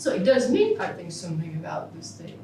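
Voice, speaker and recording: Over noticeable background noise and audible room echo, a woman speaks with a French accent. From France. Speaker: philosophy professor. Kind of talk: Q&A after a keynote lecture. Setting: conference hall with audience. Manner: halting.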